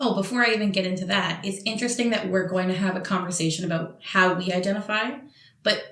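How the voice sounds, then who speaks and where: A woman's medium-pitched voice in a Montreal accent, very fast in pace and fairly even in intonation, with audible room echo. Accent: Canadian English (Montreal). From Montreal, Quebec, Canada. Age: young. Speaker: podcast co-host. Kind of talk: casual chat.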